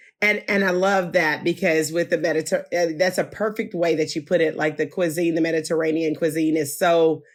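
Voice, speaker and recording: With an American accent, a woman speaks fairly quickly in a fairly low voice, with hardly any pauses and very even loudness. The recording is very clean, with a silent background. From US South. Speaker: podcast host. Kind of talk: interview. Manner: animated.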